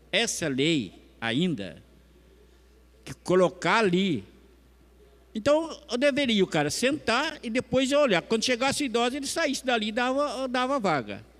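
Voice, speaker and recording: On a very clean recording with a silent background, a man speaks with lively intonation in an extremely high voice. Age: 60s. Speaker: city council speaker. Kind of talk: public speech at council session. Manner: informal, conversational.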